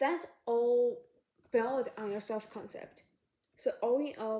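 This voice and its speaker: The voice is dark and mellow, with fairly even intonation, a non-native accent and a very slow pace. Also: woman, high pitch for a woman. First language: not English. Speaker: psychology YouTuber. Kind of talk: casual advice talk to camera. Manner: halting.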